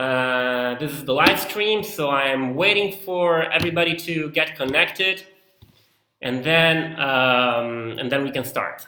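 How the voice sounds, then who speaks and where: This man has a fairly high pitch and an Italian accent, talking at a fairly slow pace with ordinary pitch variation. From Italy (Rome and Milan). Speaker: tour leader and local guide. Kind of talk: live online cooking class. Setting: home kitchen, live stream.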